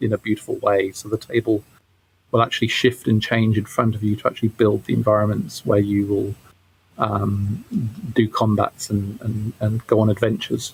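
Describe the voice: At a fairly quick pace, a man talks in a fairly low pitch with a slightly husky edge.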